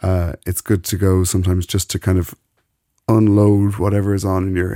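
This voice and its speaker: A man with an Irish accent talks at a fairly quick pace with long, frequent pauses, in a very deep, low pitch and a dark, mellow tone with monotone, flat intonation, on a very clean recording with a silent background and a dry, close sound with no echo. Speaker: radio presenter. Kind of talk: casual chat. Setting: studio.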